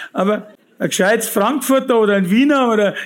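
High male voice with a Bavarian accent, fairly quick pace, and fairly even intonation. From Bavaria, Fürstenfeldbruck near Munich. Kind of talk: testimony.

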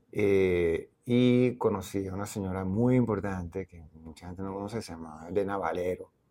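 A man with a very deep, low pitch and a dark, mellow tone, at a moderate pace with big swings in loudness. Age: 60s. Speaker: visual artist and anthropologist. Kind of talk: interview. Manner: halting.

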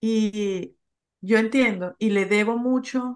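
A woman's speech shows ordinary pitch variation, set against a quiet background. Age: 40s. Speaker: podcaster and social communicator. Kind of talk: interview conversation.

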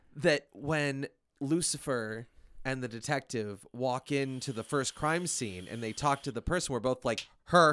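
On a very clean recording with a silent background, a man talks at a fairly slow pace and medium pitch with ordinary pitch variation, his bright, sharp tone dry and close with no echo. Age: 30s. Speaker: podcast host. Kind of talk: casual chat.

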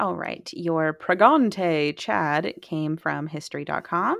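The recording is very clean, with a silent background. A woman speaks at a very slow pace. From Mississippi. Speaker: podcast co-host. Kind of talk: casual chat.

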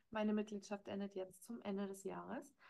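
Intonation stays monotone and flat. The tone is dark and mellow. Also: woman. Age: 30s. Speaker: podcast host and life coach. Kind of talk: solo monologue, casual recap. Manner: hesitant, frequent filler words.

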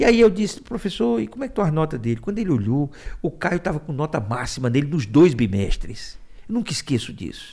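This man's voice sits fairly high and shows vocal fry. He moves at a fairly quick pace with very wide pitch swings. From Ceará, Brazil (raised in Fortaleza). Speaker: small business agency director. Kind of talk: interview.

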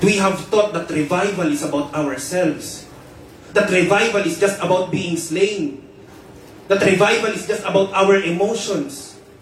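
A man speaks at a high pitch and a fairly slow pace, with ordinary pitch variation. Noticeable background noise is present. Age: 20s. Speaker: preacher. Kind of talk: sermon, fervent preaching with prayer and declarations of spiritual warfare. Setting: church.

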